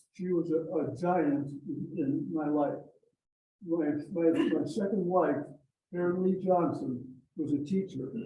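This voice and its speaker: In a room with audible echo, a man speaks at a high pitch with long, frequent pauses. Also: ordinary pitch variation, fairly slow pace. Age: 90s. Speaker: club member. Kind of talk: casual speech at club meeting. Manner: halting.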